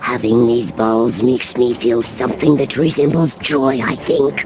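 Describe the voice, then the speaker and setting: Over clear background noise, someone performs a put-on character voice at a moderate pace. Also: man, medium pitch for a man. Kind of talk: comic abridged parody clip. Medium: solo performance. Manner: condescending, deadpan.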